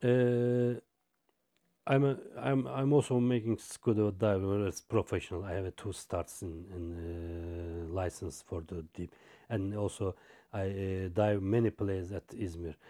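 In a dark, mellow tone, a man with a Turkish accent speaks at a fairly low pitch and a fairly slow pace with ordinary pitch variation, on a very clean recording with a silent background. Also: dry, close sound with no echo. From Turkey. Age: 40s. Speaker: logistics manager. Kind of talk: interview. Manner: halting.

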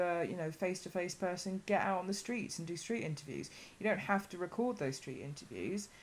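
Ordinary pitch variation marks this fairly quick delivery. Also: woman. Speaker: vegan podcast host. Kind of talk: casual interview chat. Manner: quieter than expected, loud when needed.

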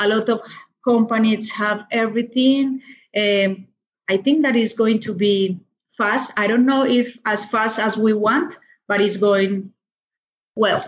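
At a fairly slow pace, a woman with a Colombian accent speaks in a fairly high pitch, somewhat breathy, with fairly even intonation. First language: Spanish. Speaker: doctor. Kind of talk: interview. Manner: halting, with many fillers.

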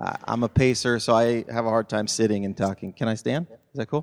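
A man speaks at a medium pitch in a normal speaking voice. The sound is dry and close with no echo, and his intonation is fairly even. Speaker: church leader. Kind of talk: panel interview. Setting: church.

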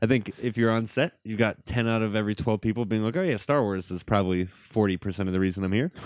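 A man's very fast speech, fairly low in pitch with ordinary pitch variation, against a quiet background. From US Midwest (Gary, Indiana, near Chicago). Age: 20s. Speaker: filmmaker. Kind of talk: casual chat.

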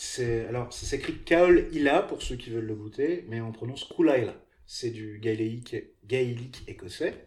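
At a fairly slow pace, a man with a somewhat breathy voice talks at medium pitch, varying it in an ordinary way. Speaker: podcast host. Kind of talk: casual chat; scripted narration.

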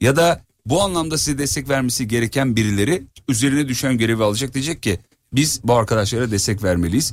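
Speaking at a very fast pace, a man uses an animated tone and lively intonation. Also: medium pitch for a man. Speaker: radio host. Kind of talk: casual chat. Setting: outdoors.

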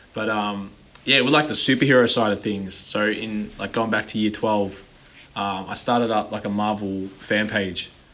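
A man speaks at a moderate pace with a fairly low pitch. His intonation is fairly even, and there is noticeable background noise. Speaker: rapper. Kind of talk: casual chat.

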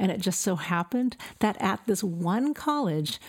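A woman with an American accent and a plain, everyday voice, lively intonation and a moderate pace, on a very clean recording with a silent background. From Southern California (El Centro). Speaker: pastor. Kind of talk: testimony.

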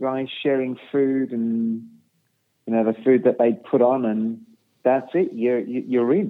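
A man's voice at a medium pitch, with ordinary pitch variation. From England, Birmingham. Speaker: sales director and community worker. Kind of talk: personal testimony in interview. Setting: remote call from his bedroom.

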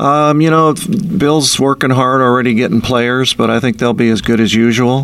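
At a moderate pace, a man speaks in a normal speaking voice with very even loudness. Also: medium pitch for a man, fairly even intonation. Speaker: sports broadcaster. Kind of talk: casual chat. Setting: studio.

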